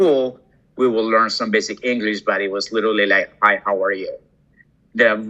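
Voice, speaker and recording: Speaking at a fairly quick pace with ordinary pitch variation, a man talks with a Colombian accent. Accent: Colombian Spanish accent, kept. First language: Spanish. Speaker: hospitality executive. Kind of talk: interview conversation. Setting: podcast interview. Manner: hesitant, many fillers.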